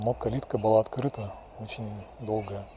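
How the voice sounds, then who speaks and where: The man's voice sounds dry with no echo, though noticeable background noise is present. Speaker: local walking guide. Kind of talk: casual walking commentary. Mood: nostalgic, calm. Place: street. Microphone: phone near.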